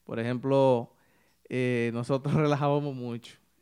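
A man with fairly even intonation in a very clean recording with a silent background. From Dominican Republic, Santiago Rodríguez (northwest line). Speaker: saxophonist, typical music musician. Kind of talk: interview, casual chat. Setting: studio.

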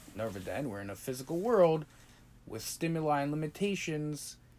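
Lively intonation marks this man's normal speaking voice. He keeps a moderate pace. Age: 20s. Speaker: podcast co-host, Torah study partner. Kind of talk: casual religious study chat.

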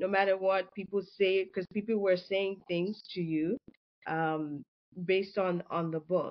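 In an unremarkable speaking voice, a woman talks at a fairly slow pace with a medium pitch and fairly even intonation. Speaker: podcast co-host. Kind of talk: casual interview.

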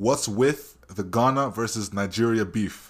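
With a Canadian accent, a man speaks in an animated tone at a fairly low pitch. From Canada. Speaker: podcast host. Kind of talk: casual interview. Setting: video call.

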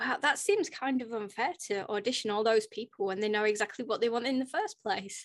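This woman has a plain, everyday voice, fairly high in pitch. She moves at a fairly quick pace with ordinary pitch variation. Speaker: podcast host. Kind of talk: casual interview.

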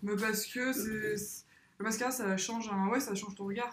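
Noticeable background noise sits behind a woman's voice. She speaks at a fairly slow pace with fairly even intonation. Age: 20s. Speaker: motion design student. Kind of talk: casual chat.

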